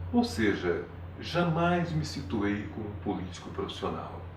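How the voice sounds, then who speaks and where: Somewhat breathy, a man speaks with a fairly low pitch and lively intonation at a fairly slow pace. The room echo is audible. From Paraná, Brazil. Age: 70s. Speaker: retired politician and teacher. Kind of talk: interview. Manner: formal.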